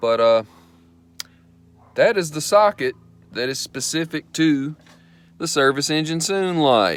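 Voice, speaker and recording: A man with a Southern US accent speaks in a relaxed tone at a fairly high pitch, fairly slow, with lively intonation and long, frequent pauses. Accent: country Southern. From US South, Mississippi. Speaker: car restoration hobbyist. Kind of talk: DIY repair vlog. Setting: in a car, then garage. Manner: casual, relaxed.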